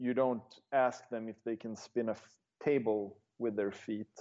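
A man with a Swedish accent speaks at a fairly slow pace. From northern Sweden. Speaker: juggler and juggling historian. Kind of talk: interview conversation.

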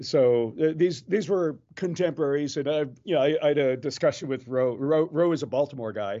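An ordinary speaking voice, from a man with an American accent and a fairly high pitch. He keeps a moderate pace with hardly any pauses and ordinary pitch variation. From Maryland, US. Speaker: juggler and comedian. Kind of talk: casual interview.

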